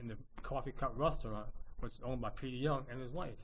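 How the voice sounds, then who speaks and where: A man talks at a fairly quick pace in a somewhat breathy voice. His pitch variation is ordinary. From Princeton, New Jersey. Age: 70s. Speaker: photo collage artist. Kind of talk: interview.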